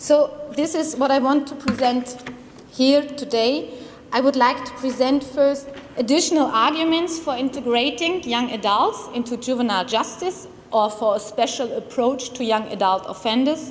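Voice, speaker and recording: With a strong German accent, a woman talks at a moderate pace in a high voice with ordinary pitch variation. Audible room echo and noticeable background noise fill the recording. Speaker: criminology researcher. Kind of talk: conference presentation. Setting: conference room with audience. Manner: formal.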